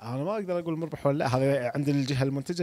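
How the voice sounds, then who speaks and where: A man talks at a very fast pace in a dark, mellow tone with ordinary pitch variation. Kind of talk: interview answer. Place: hall. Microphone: handheld.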